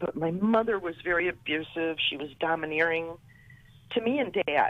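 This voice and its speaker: A woman has an ordinary speaking voice with a fairly low pitch. She talks at a moderate pace with lively intonation. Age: 60s. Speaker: caller. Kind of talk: phone-in testimony.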